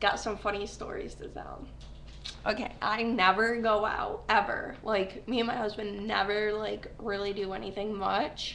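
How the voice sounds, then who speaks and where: In a room with audible echo, a woman with a fairly high pitch speaks in a monotone, flat intonation. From upstate New York. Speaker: vlogger. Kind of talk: casual webcam vlog. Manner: rambling with many fillers.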